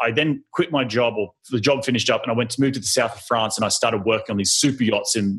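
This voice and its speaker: This speaker has an Australian accent and ordinary pitch variation. The pace is very fast. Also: man. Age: 30s. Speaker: real estate investor. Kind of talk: interview.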